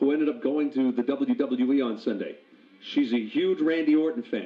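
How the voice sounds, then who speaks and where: Lively intonation in a man's fairly high-pitched voice, a normal speaking voice. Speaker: radio host. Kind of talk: morning radio show banter.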